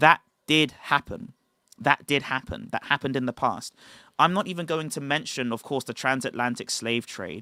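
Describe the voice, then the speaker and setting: A man with a British accent speaks at a moderate pace and fairly high pitch, with lively intonation and a bright, sharp tone. The recording is very clean, with a silent background and a dry, close sound with no echo. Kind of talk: livestream talk. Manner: enunciated.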